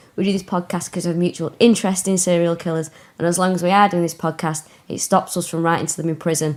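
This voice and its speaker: In a very clean recording with a silent background, a woman talks at a very fast pace with a Mancunian accent. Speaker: comedian. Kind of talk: casual chat.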